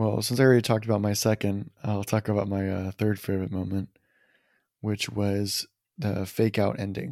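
Dark and mellow in tone, a man with fairly low pitch and ordinary pitch variation speaks at a moderate pace, his voice dry and close with no echo on a very clean recording with a silent background. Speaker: movie podcast host. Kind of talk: casual chat. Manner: halting.

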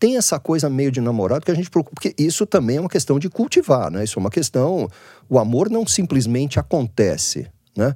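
Fairly quick speech from a man with a fairly high pitch and a dark, mellow tone, very wide pitch swings, a dry, close sound with no echo, and a very clean recording with a silent background. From Brazil, Santos. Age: 60s. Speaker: business founder. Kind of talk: casual chat.

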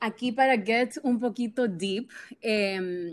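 A woman's fairly high voice with fairly even intonation, on a very clean recording with a silent background. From Honduras. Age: 20s. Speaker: social media influencer. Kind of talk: interview.

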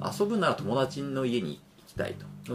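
Clear background noise behind a male speaker whose pitch leaps very widely. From Japan, Aichi Prefecture. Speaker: physician. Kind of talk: casual chat.

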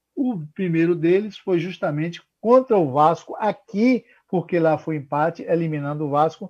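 The man speaks at a moderate pace. His pitch is high, with ordinary pitch variation. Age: 60s. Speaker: radio commentator. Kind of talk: radio talk show commentary. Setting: working from home.

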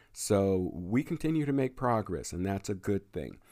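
A man with an American accent speaks at a fairly low pitch in a dark, mellow tone with lively intonation. His fairly slow delivery sits in a very clean recording with a silent background. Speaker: radio host. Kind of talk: radio DJ patter. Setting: radio show, internet radio. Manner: fluent, with filler words.

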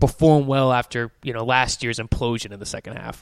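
In a plain, everyday voice, a man speaks at a medium pitch and a fairly quick pace, with fairly even intonation. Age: 20s. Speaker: soccer podcast host. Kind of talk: casual chat.

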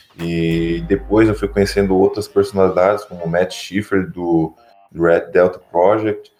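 Over music in the background, a man speaks fairly slowly at a very deep, low pitch with ordinary pitch variation. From Santa Catarina, Brazil (Tubarão). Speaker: fitness podcast host. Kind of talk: casual chat.

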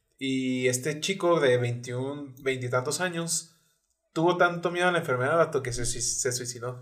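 In a Mexican accent, a man with a medium pitch speaks at a fairly slow pace with ordinary pitch variation. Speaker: podcast co-host. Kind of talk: casual chat.

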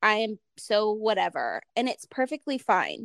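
A woman in a normal speaking voice with an American accent, fairly high in pitch, with ordinary pitch variation and a fairly slow pace, in a very clean recording with a silent background and a dry, close sound with no echo. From Ohio, US Midwest. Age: 30s. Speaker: podcast host, mom. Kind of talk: casual interview chat.

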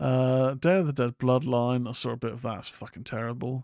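A man with an unremarkable speaking voice talks at medium pitch and a moderate pace. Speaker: horror podcast host. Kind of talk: casual solo commentary. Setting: live stream.

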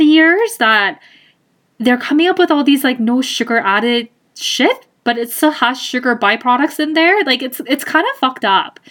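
At a moderate pace, a woman with a high voice speaks in lively intonation on a very clean recording with a silent background. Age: 30s. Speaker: podcast host, accountant. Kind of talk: casual monologue. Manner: hesitant, laughs often.

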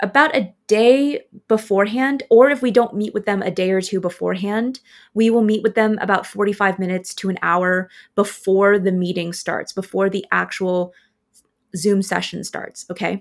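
In a very clean recording with a silent background, a woman with an American accent talks at a moderate pace. She has an unremarkable speaking voice, a medium pitch and ordinary pitch variation. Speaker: podcast host. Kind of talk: solo podcast episode, casual talk.

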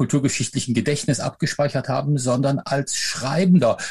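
This man's fairly high voice carries vocal fry and lively intonation. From Rhineland, Germany (Eifel/Aachen area), later Upper Franconia. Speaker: professor and author. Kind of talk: interview. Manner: hesitant fillers.

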